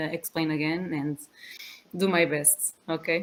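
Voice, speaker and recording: A woman's fairly low voice with a Portuguese accent, fairly even intonation and a moderate pace. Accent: Portuguese accent, non-native English. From Portugal. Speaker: physiotherapist. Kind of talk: lecture. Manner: halting, many fillers.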